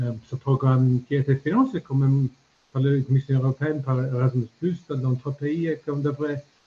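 A man's somewhat breathy voice with a dark, mellow tone at a fairly slow pace. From Ireland. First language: English (speaking French). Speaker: retired diplomat; conference panelist. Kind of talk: panel discussion. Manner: halting. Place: home room. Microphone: video call.

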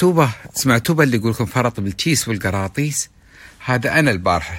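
Against a quiet background, a man's bright, sharp tone makes very wide pitch swings at a moderate pace, the sound dry with no echo. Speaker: vlogger. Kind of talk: casual vlog talk. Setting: hotel room abroad. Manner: informal, rambling. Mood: joking, playful. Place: home room. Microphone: phone near.

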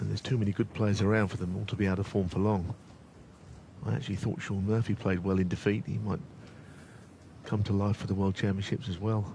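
Very fast speech with long, frequent pauses comes from a man with a fairly low pitch. His voice has a dark, mellow tone and is somewhat breathy. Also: ordinary pitch variation. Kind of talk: live sports commentary. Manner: measured, conversational expert analysis.

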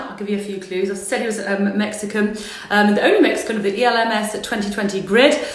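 Audible room echo surrounds the voice. A woman is speaking at a moderate pace. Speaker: livestream host. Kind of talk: casual livestream introduction. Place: home room. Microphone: phone near.

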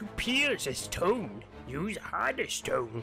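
A man is speaking. Clear music can be heard behind him. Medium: machinima. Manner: cryptic, playful riddling.

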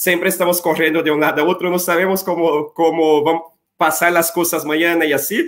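Here a man speaks at a high pitch. He has a Portuguese accent. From Brazil. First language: Portuguese (speaking Spanish). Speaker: college representative. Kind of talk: informational webinar.

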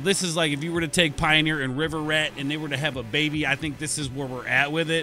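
A man at a very fast pace with hardly any pauses, fairly even intonation, a dry sound with no echo and light background noise. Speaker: music reaction youtuber. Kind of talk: casual reaction commentary. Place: home room. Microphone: studio mic.

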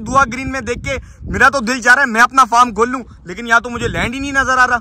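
A man's bright, sharp voice at an extremely high pitch, over faint background noise.

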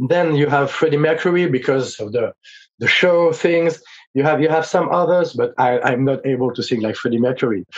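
A voice with a French accent at a moderate pace, with ordinary pitch variation. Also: man, fairly high pitch for a man. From France. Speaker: rock vocalist; guest. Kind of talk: interview. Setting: video call. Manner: halting. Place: home room.

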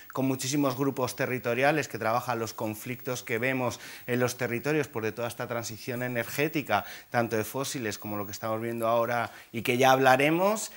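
A man delivers his words at a fairly quick pace with fairly even intonation. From rural Spain. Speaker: climate activist; guest. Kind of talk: panel discussion. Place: studio. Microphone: lapel.

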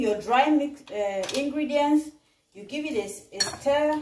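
A woman speaks in a high voice with lively intonation. Light background noise can be heard. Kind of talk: cooking tutorial. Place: kitchen. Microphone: camera far.

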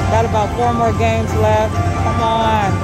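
Dry sound with no echo and loud music in the background. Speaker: casino gambling vlogger. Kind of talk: casual vlog commentary. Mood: hopeful, mildly excited. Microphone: phone near.

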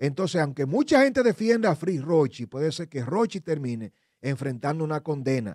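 A man speaks at a moderate pace with lively intonation, the sound dry with no echo and the background quiet. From Dominican Republic. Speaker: lawyer and legal commentator; lawyer, legal commentator. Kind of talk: legal analysis on a radio talk show. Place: studio. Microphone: studio mic.

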